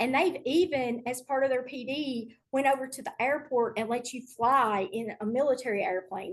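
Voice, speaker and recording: The speaker has a Tennessee accent and ordinary pitch variation. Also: woman. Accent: Southern US (Tennessee). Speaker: middle school STEM teacher. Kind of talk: online presentation to teachers.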